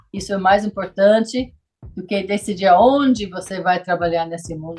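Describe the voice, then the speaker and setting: A woman with a medium-pitched, somewhat breathy voice speaks at a moderate pace, with ordinary pitch variation and big swings in loudness. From US South, rural. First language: English (speaking Portuguese). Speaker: missionary. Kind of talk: casual interview.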